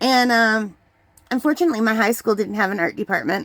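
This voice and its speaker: A woman with a Canadian accent at a very fast pace, medium pitch and fairly even intonation, in a very clean recording with a silent background and a dry, close sound with no echo. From Canada. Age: 60s. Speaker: retired teacher and hobby artist. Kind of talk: casual vlog chat. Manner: casual with fillers and hesitations.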